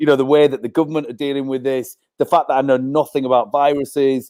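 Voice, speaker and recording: A man talks at a very fast pace with a fairly high pitch. The sound is dry and close, with no echo. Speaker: music venue manager. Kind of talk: casual panel discussion.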